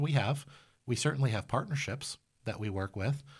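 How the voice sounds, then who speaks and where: In a very clean recording with a silent background, a man speaks fairly quickly in a somewhat breathy voice with ordinary pitch variation. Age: 40s. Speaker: laundromat owner. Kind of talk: podcast interview.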